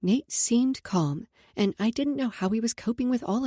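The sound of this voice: The pitch moves with ordinary variation. It is an unforced reading voice.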